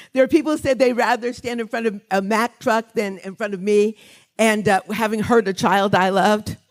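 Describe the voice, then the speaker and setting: Fairly quick speech from a woman at a fairly high pitch, music in the background. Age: 60s. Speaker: author and songwriter, award honoree. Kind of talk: award acceptance speech. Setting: stage with audience at a gala.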